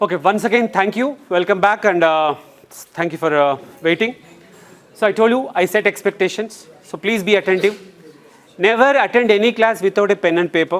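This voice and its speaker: Here a man speaks with an Indian accent at a moderate pace. His pitch is high and varies in an ordinary way. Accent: Indian English (Telugu). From India, Telangana (Nalgonda district village). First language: Telugu. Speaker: English trainer. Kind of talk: lecture. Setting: classroom. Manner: animated.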